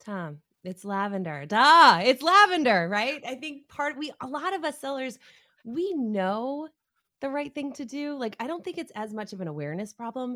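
A woman speaks in a raised, projected voice at a moderate pace, her high, bright, sharp tone animated, with very wide pitch swings and big swings in loudness. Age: 40s. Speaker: sales community lead, former salesperson. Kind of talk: interview.

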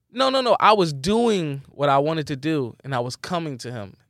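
Recorded very cleanly against a silent background, a man with an American accent speaks at a fairly high pitch with very wide pitch swings. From Philadelphia, US. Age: 30s. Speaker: musical artist. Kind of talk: casual interview chat.

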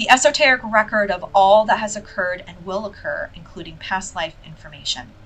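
Noticeable background noise runs under the speech. The delivery is neither fast nor slow. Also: woman. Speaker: spiritual podcast host and reader. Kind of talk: casual monologue. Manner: animated.

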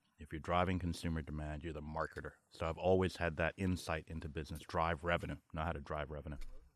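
A man with a New York accent rattles along at a very fast pace with hardly any pauses, his very deep voice flat and monotone. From New York, Brooklyn (Flatbush), born in Barbados. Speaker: marketing executive. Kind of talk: podcast interview. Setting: outdoors at a lake house with small crowd.

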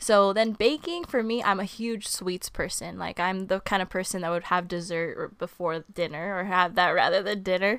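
A woman talks in a Californian accent at a moderate pace. Her intonation is fairly even, with hardly any pauses. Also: medium pitch for a woman. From Southern California, Ventura County. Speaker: substitute teacher and small baking business owner. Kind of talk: casual interview chat.

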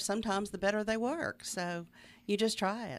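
On a very clean recording with a silent background, a woman speaks at a moderate pace in a Southern US accent. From Middle Tennessee. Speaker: arts organizer. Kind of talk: radio interview. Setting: studio.

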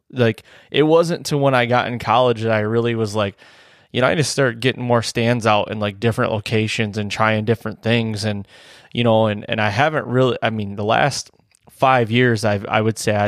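A plain, everyday voice from a man with an American accent, medium in pitch, at a fairly quick pace with fairly even intonation, on a very clean recording with a silent background. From Michigan, US. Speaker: hunting podcast host and deer hunter. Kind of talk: casual chat.

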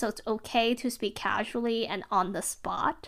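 A bright, sharp tone at a fairly slow pace on a very clean recording with a silent background. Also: woman. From born outside the US. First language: not English. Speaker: podcast host. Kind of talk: solo monologue. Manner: casual, filler-heavy.

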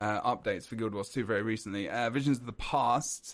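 An unremarkable speaking voice from a man at medium pitch with ordinary pitch variation. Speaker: podcast host. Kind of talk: casual chat podcast. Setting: video call.

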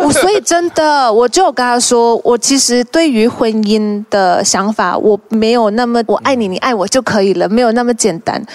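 Her loudness very even, a woman speaks with a fairly high pitch over noticeable background noise. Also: lively intonation, moderate pace. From Malaysia, Hokkien Chinese family. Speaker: actress. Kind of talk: casual chat.

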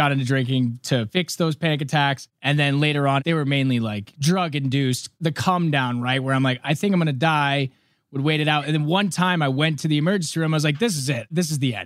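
A man with a normal speaking voice talks at a fairly quick pace and a fairly high pitch, with ordinary pitch variation and hardly any pauses. The recording is very clean, with a silent background. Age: 20s. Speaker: recovering addict. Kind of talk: testimony.

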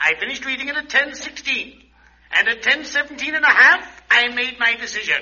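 Putting on a character voice, a man speaks at an extremely high pitch and a fairly quick pace, his bright, sharp tone carrying a slightly husky edge and lively intonation.

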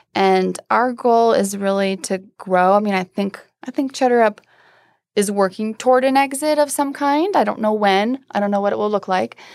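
With an American accent and a plain, everyday voice, a woman speaks at a moderate pace with ordinary pitch variation on a very clean recording with a silent background. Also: fairly high pitch for a woman. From US Midwest, rural Iowa. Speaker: startup founder and CEO. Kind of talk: interview. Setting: studio.

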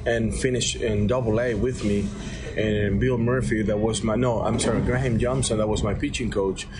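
A man's medium-pitched voice at a moderate pace, ordinary pitch variation, with music in the background. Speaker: baseball third base coach. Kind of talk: radio interview. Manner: halting, repeating words.

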